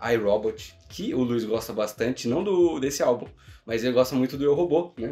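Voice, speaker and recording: Faint music sits in the background as the words come at a moderate pace. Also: man. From Brazil. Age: 20s. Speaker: YouTuber. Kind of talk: casual monologue. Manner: casual. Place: home room.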